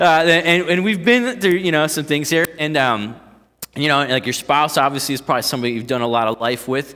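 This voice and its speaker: A man speaks with a Northeast Ohio accent at a fairly quick pace. His pitch is fairly high and his intonation lively. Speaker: pastor. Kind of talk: sermon. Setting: church. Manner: casual, halting with fillers.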